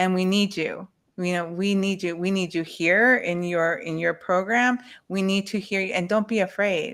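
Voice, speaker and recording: A woman's medium-pitched voice, an ordinary speaking voice, at a moderate pace. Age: 40s. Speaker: webinar panelist. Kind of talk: webinar discussion.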